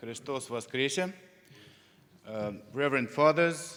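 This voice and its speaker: A man speaks with a Russian accent. His pitch varies in an ordinary way. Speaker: conference speaker. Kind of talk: conference presentation.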